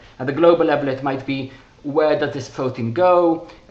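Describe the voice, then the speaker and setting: A man's fairly quick speech, with ordinary pitch variation, carries over noticeable background noise. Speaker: researcher presenting his paper. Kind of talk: technical presentation. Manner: fast; halting, many fillers and restarts.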